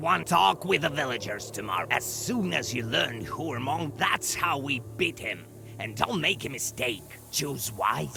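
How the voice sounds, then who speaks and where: Over a clear background, a man at medium pitch does a put-on character voice at a moderate pace. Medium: short film. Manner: growling, cryptic.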